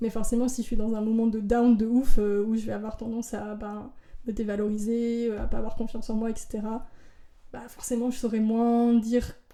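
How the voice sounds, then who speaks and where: A woman's fairly high voice at a fairly quick pace, monotone and flat, with audible room echo and noticeable background noise. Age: 20s. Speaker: drag artist and actress. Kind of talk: casual chat. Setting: at her home. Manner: fast; loud peaks.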